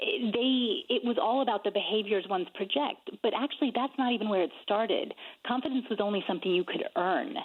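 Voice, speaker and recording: A woman with an American accent speaks at a fairly quick pace and a fairly high pitch, with lively intonation and very even loudness. Hers is an unremarkable speaking voice. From United States. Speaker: author and speaker. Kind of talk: radio interview.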